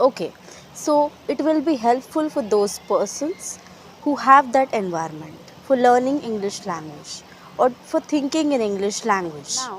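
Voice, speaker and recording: With a Marathi Indian accent, a woman speaks fairly slowly at a high pitch with very wide pitch swings over noticeable background noise. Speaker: English teacher. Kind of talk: tutorial. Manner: halting, with fillers.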